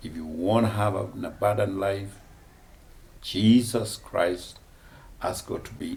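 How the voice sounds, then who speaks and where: Room echo can be heard. The pace is fairly slow, and the pitch varies in an ordinary way. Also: man. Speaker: bishop. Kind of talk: testimony.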